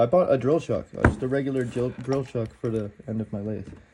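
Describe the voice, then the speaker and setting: A man speaks at a fairly quick pace in a medium pitch. Noticeable background noise runs under his voice. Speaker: woodworking youtuber. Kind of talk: unboxing video. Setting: in a kitchen. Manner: casual, halting.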